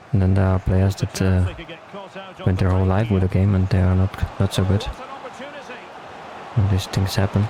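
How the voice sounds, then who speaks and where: A man talks at a moderate pace with a very deep, low pitch and monotone, flat intonation. His loudness stays very even, he takes long, frequent pauses, and there is noticeable background noise. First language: German. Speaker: gaming YouTuber. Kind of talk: gameplay commentary. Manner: halting.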